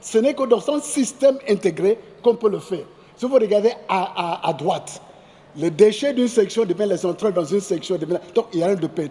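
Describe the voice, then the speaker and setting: Speaking at a moderate pace over noticeable background noise, a man uses a high pitch with ordinary pitch variation. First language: English (speaking French). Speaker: agricultural centre director and agronomist. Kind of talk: conference presentation. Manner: halting.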